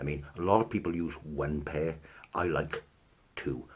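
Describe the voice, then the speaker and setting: With vocal fry and ordinary pitch variation, a man speaks at a very deep, low pitch. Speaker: instrument maker. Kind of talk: tutorial. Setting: filmed on camera with slight delay. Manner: deliberately slow; hesitant, many ums.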